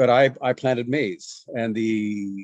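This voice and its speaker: Against a quiet background, a man with a fairly low pitch speaks in a normal speaking voice with ordinary pitch variation. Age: 60s. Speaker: farming trainer and missionary. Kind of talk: interview.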